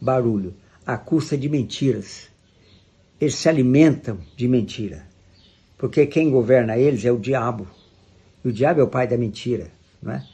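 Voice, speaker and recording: With vocal fry and a dark, mellow tone, a man speaks at a medium pitch and moderate pace, with ordinary pitch variation and long, frequent pauses. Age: 80s+. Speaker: preacher. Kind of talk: sermon.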